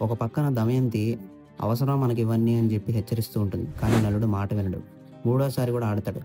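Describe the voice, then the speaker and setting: A man speaks at a medium pitch with fairly even intonation. Music plays in the background. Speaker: voice-over storyteller. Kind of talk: mythological story narration. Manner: emotional, heartfelt.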